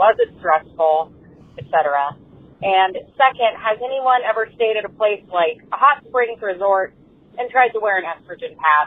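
Here is a woman with a normal speaking voice and a fairly high pitch. She talks at a moderate pace with lively intonation. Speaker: caller. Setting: phone call.

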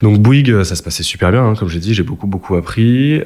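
Noticeable background noise fills the clip. A man's voice comes through it. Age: 20s. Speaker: venture capital analyst. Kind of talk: interview. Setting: office premises. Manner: hesitant with fillers.

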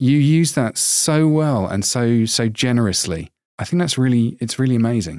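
A man speaks with a British accent at a moderate pace, his intonation lively. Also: medium pitch for a man, very even loudness. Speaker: podcast host. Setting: video call.

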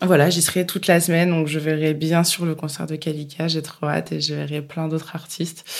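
A woman with a very deep, low pitch speaks fairly quickly in a flat, monotone way, with hardly any pauses. Noticeable background noise runs underneath. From France, Bourges. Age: 30s. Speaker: podcast host. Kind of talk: casual chat.

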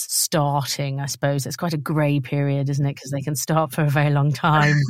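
A woman speaks in a British accent. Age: 40s. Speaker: podcast host. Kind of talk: casual chat. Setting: video call.

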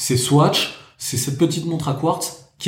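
A man is speaking with a fairly high pitch. He has an ordinary speaking voice. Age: 30s. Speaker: watch collector. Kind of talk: casual chat.

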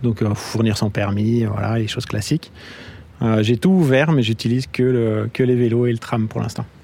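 A plain, everyday voice from a man, medium in pitch with ordinary variation, at a moderate pace. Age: 30s. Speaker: app user, commuter. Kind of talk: street interview.

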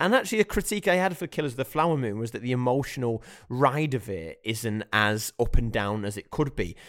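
There is a very clean recording with a silent background. In it, an ordinary speaking voice talks at a moderate pace with lively intonation. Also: man. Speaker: podcast host, film reviewer. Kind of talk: casual chat.

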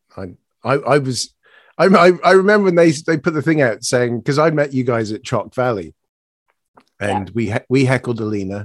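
The recording is very clean and the background silent. A man speaks at a moderate speed with lively intonation. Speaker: podcast co-host. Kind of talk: casual chat.

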